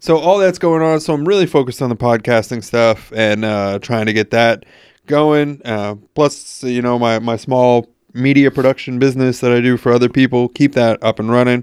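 In a normal speaking voice with an American accent, a man speaks at medium pitch and a moderate pace with ordinary pitch variation, recorded with a dry, close sound, no echo, and a very clean, silent background. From New York. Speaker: podcast host. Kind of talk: casual chat. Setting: crossover podcast interview.

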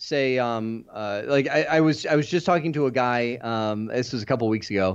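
Against a quiet background, a man talks at a medium pitch with ordinary pitch variation. He has an unremarkable speaking voice. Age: 40s. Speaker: IT certification trainer. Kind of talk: casual chat.

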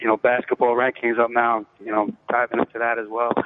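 A man with a New York accent. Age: 30s. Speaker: fantasy sports blogger and firefighter. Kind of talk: casual chat.

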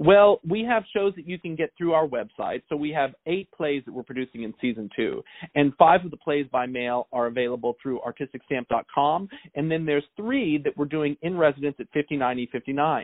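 The man has an unremarkable speaking voice, pitched fairly high. He talks at a moderate pace with ordinary pitch variation. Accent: American. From US South and Southeast (Kentucky, Florida, South Carolina). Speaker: theater director. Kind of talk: interview. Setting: phone call.

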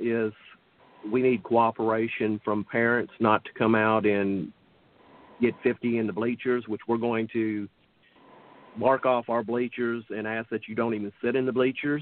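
A man with a medium pitch talks fairly slowly, keeping his intonation fairly even. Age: 60s. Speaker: softball tournament organizer. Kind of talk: casual chat.

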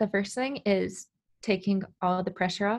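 A woman with a Californian accent speaks at a medium pitch and moderate pace in a flat, monotone way. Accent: Californian American. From Southern California. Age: 20s. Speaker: former college soccer player recovering from injury. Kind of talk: interview.

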